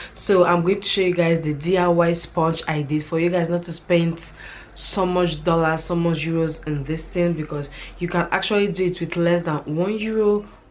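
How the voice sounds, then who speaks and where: A woman with a fairly low pitch speaks at a moderate pace in a monotone, flat intonation, with noticeable background noise behind her. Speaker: beauty and hair vlogger. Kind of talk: casual vlog tutorial. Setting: home at night, children sleeping.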